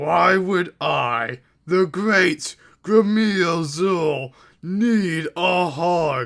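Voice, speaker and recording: A bellowing, put-on character voice goes at a very slow pace on a very clean recording with a silent background. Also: man, high pitch for a man. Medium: read story.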